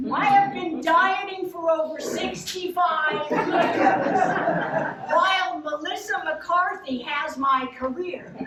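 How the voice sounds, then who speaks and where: With noticeable background noise and audible room echo, a woman projects a raised voice at an extremely high pitch, speaking at a very slow pace with ordinary pitch variation. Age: 70s. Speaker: cabaret performer and actress. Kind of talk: storytelling stage show.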